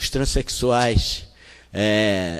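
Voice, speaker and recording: This man's voice sits at a fairly low pitch. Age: 60s. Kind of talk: talk at a panel.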